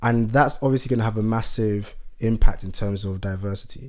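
In a plain, everyday voice, a man speaks at a fairly quick pace with ordinary pitch variation. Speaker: podcast co-host. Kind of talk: casual chat.

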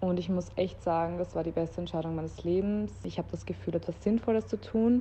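A woman talks at a fairly quick pace with hardly any pauses. Her fairly low, dark, mellow voice is somewhat breathy, with ordinary pitch variation. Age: 20s. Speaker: kindergarten teacher. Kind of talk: casual chat.

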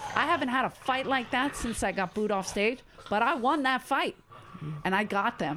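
This voice carries a Philadelphia accent and a bright, sharp tone with lively intonation. Loudness stays very even at a moderate pace. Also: woman, high pitch for a woman. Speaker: stand-up comedian. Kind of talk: casual chat. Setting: in person with host.

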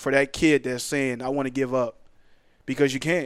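On a very clean recording with a silent background, a man with an American accent and medium pitch speaks at a moderate pace in a monotone, flat intonation. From US Northeast, Philadelphia. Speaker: professional football player. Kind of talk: podcast interview. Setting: studio.

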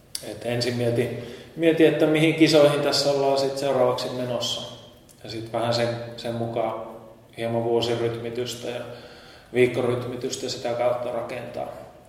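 A medium-pitched man at a moderate pace with fairly even intonation and long, frequent pauses, amid audible room echo and noticeable background noise. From Finnish Lapland, Kemijärvi. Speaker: ultrarunner. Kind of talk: interview. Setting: library. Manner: halting, many fillers.

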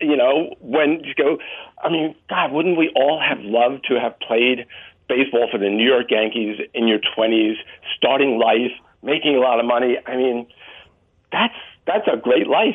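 A man with a normal speaking voice, an American accent, a medium pitch, a moderate pace, and ordinary pitch variation. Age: 60s. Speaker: author. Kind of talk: interview.

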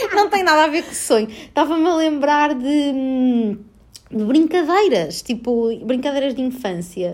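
In a European Portuguese accent, a woman speaks at a high pitch with an animated tone and very wide pitch swings, over noticeable background noise. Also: fairly slow pace. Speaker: podcast host. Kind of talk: casual chat. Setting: at home. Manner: animated, frequent laughter.

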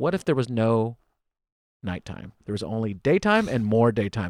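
Speaking at a fairly quick pace in a plain, everyday voice, a man with an American accent sits at medium pitch on a very clean recording with a silent background and a dry, close sound with no echo. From United States. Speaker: stand-up comedian. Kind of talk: casual chat.

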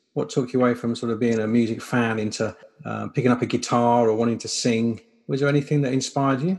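Speaking very fast, a man with a British accent uses a medium pitch and fairly even intonation. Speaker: podcast host. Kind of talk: casual interview.

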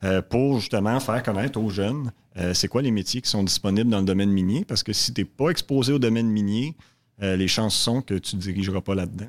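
A man speaks with a fairly low pitch. The sound is dry and close with no echo, on a very clean recording with a silent background. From Quebec, Montreal south shore. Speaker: exploration geologist executive. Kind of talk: interview. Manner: halting.

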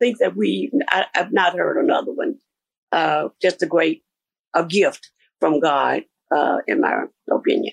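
A woman with a Mississippi accent talks at a fairly slow pace with long, frequent pauses. The sound is dry and close with no echo, and her loudness stays very even. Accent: Southern US (Mississippi). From US South, Mississippi. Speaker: gospel choir singer. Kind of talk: radio interview.

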